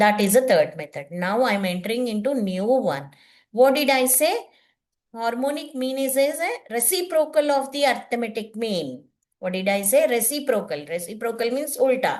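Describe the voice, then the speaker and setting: A woman with an Indian accent, high in pitch, with lively intonation at a moderate pace over a quiet background. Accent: Indian English, Telugu. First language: Telugu. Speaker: teacher. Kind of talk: lecture. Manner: halting.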